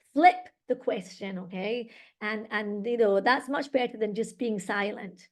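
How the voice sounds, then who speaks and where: A woman with a Scottish accent, a fairly high pitch, an animated tone and a fairly slow pace. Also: ordinary pitch variation. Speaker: English teacher and exam trainer. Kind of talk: webinar presentation. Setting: online webinar.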